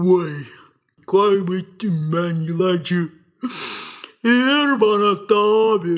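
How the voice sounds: In a cartoonish character voice, a man speaks at a high pitch and a very slow pace, with long, frequent pauses.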